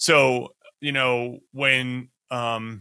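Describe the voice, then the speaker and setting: A medium-pitched man's voice with a bright, sharp tone and an American accent, on a very clean recording with a silent background. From United States. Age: 50s. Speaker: professor and podcast host. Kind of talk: interview conversation.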